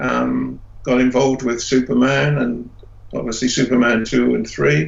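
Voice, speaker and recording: A man with an English accent is heard over noticeable background noise. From England. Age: 70s. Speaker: special effects artist. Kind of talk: interview. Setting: video call.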